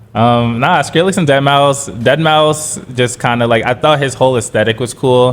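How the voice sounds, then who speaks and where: A man with an American accent and medium pitch, at a moderate pace with hardly any pauses, ordinary pitch variation and very even loudness, over noticeable background noise. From New York City (Bronx, then Brooklyn). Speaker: DJ and producer. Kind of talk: podcast interview. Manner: casual, hesitant with fillers.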